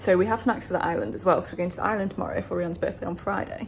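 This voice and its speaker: A woman speaks with an English accent. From England. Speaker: travel vlogger. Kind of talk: casual vlog narration. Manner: animated.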